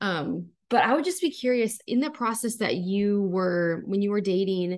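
Against a quiet background, a woman with an American accent speaks at a moderate pace in an ordinary speaking voice, with ordinary pitch variation. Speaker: podcast co-host. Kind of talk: casual chat.

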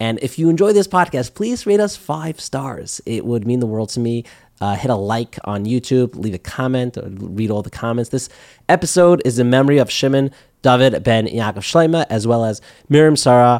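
Recorded very cleanly against a silent background, a man speaks. His medium-pitched voice has lively intonation. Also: moderate pace. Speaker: podcast host. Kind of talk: interview conversation. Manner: enthusiastic.

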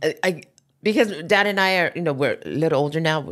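A woman talks at a fairly quick pace in a fairly low pitch with a Hawaiian accent. The recording is very clean and the background silent. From Hawaii, Oahu west side. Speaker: podcast guest, mother. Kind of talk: casual chat. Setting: studio.

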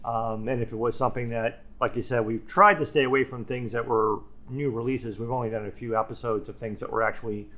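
A man talks at a very fast clip with a medium pitch, a bright, sharp tone and fairly even intonation. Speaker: podcast co-host. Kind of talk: casual chat. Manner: strongly fluctuating volume; loud, sometimes shouts.

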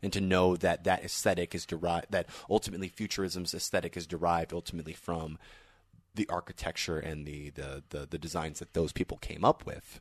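A man speaks in a very deep, low voice with monotone, flat intonation. The sound is dry and close, with no echo. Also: quiet background. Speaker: podcast host. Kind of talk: casual chat. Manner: loud, shouts into the microphone.

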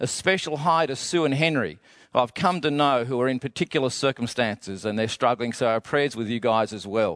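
A man at medium pitch with an unremarkable speaking voice, lively intonation and a fairly quick pace, with a dry, close sound, no echo and a quiet background. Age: 60s. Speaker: pastor. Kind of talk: sermon. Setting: empty auditorium, filmed for online broadcast.

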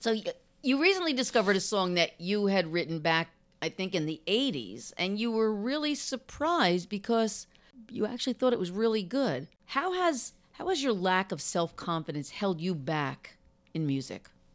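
A woman with a New Jersey accent speaks at a moderate pace in a medium pitch, her voice swinging very widely in pitch over a silent background in a very clean recording. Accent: New Jersey American. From New Jersey, Monmouth County. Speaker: podcast host. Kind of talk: interview conversation.

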